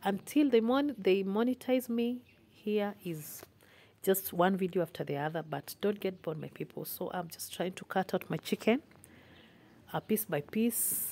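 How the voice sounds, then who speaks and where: Her tone dark and mellow, a woman speaks at a moderate pace with big swings in loudness. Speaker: home cook vlogger. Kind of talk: casual vlog chat. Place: kitchen. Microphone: phone near.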